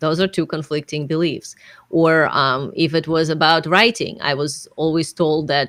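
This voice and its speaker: A woman with a non-native accent speaks at a very deep, low pitch. Her intonation is fairly even and her pace moderate. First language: not English. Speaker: business coach and author. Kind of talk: podcast interview.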